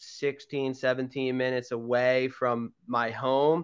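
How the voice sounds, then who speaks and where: Over a quiet background, a man with a Philadelphia accent speaks at medium pitch in a monotone, flat manner. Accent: Philadelphia-area American. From Pennsylvania, Garnet Valley. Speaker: podcast co-host. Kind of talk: casual chat.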